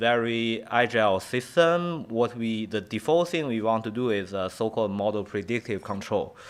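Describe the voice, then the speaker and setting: The speaker has a Chinese accent and ordinary pitch variation. There are hardly any pauses. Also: man. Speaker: professor. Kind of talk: lecture. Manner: halting.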